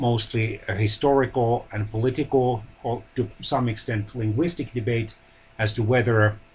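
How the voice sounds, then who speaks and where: Somewhat breathy, a man speaks at a medium pitch and a fairly slow pace with fairly even intonation. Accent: Finnish. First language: Finnish. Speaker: language educator. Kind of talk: lecture. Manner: halting.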